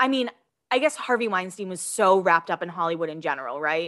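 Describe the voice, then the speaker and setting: A woman speaks with an American accent in a bright, sharp tone. Her pitch swings very widely over a quiet background. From Massachusetts, US. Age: 30s. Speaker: podcast host, gossip commentator. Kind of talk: casual chat.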